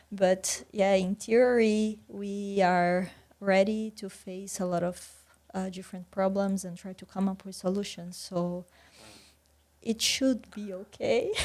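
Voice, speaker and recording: In a Portuguese accent, a woman speaks very slowly at a medium pitch with monotone, flat intonation. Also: big swings in loudness. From Brazil, countryside. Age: 30s. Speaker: PhD student. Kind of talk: podcast interview.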